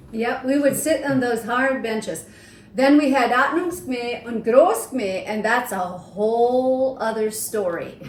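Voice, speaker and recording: The speaker talks at a very slow pace with ordinary pitch variation, over noticeable background noise and audible room echo. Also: woman, high pitch for a woman. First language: Swiss German dialect. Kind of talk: casual chat.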